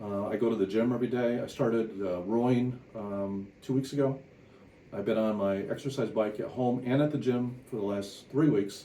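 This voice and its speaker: A man speaks at a moderate pace with a medium pitch and fairly even intonation. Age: 60s. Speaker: company CEO and engineer. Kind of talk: patient testimonial. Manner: hesitant, many fillers.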